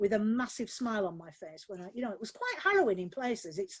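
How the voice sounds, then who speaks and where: A woman with a Yorkshire accent, fairly high-pitched, at a very fast pace. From Yorkshire, Barnsley. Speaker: novelist. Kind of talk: live webinar Q&A. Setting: video call from home office.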